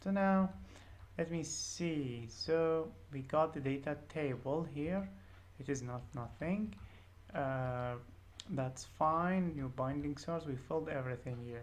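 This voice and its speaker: Very slowly and with long, frequent pauses, a woman speaks at a very deep, low pitch with lively intonation, amid audible room echo and noticeable background noise. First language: not English. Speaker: programming tutor. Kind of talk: tutorial. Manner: hesitant, many fillers.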